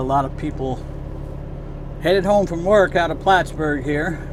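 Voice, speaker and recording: Over noticeable background noise and audible room echo, a man with a fairly high voice talks in a relaxed tone at a moderate pace with ordinary pitch variation. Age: 60s. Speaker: truck driver vlogger. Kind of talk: casual vlog monologue. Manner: relaxed, conversational with fillers.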